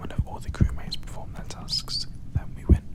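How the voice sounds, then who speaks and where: In a calm tone and a British accent, someone whispers at a moderate pace over noticeable background noise. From United Kingdom. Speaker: ASMR gaming creator. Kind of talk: ASMR gaming commentary. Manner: whispered; calm, relaxing.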